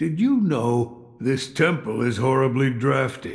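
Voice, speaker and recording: Adopting a put-on character voice, a man speaks at a medium pitch and a fairly slow pace. His pitch varies in an ordinary way. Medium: video game. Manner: measured, wry.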